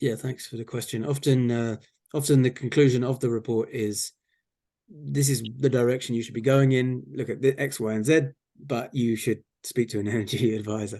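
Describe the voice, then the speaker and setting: With an English accent, a man speaks at a moderate pace and medium pitch, his tone dark and mellow and his intonation fairly even. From England. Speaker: regional energy and climate official. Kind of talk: Q&A at an online community talk. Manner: hesitant, repeats words.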